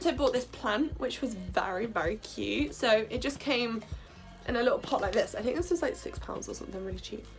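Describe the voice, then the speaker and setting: Music plays behind the voice. A woman speaks fairly quickly. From England. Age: 20s. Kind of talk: casual talk to camera, vlog. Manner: casual, chatty.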